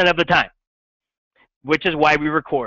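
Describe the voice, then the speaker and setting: A man talks in an animated tone. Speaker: middle school science teacher. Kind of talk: classroom lecture. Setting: classroom with students. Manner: loud.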